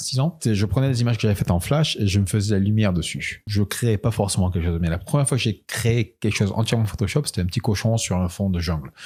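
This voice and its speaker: Speaking at a very fast pace, a man with a fairly low, somewhat breathy voice uses ordinary pitch variation in a very clean recording with a silent background. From France. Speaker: illustrator and animator. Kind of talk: interview. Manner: halting, many hesitations.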